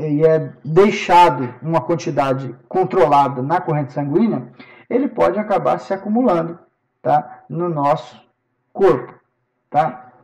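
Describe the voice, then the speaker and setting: In a plain, everyday voice, a man talks at a fairly slow pace with a fairly high pitch and lively intonation. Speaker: professor. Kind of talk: lecture.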